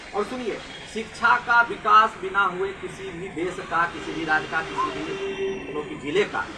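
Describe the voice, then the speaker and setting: Against noticeable background noise, a man projects a raised voice at a high pitch, with very wide pitch swings, big swings in loudness and hardly any pauses. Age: young. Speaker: school principal. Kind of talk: interview.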